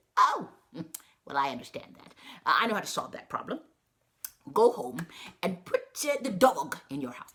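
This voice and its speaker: Using a put-on character voice, a woman talks at a moderate pace. Her loudness swings widely, and she pauses often and at length. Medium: read story. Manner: warm, folksy, calls people honey.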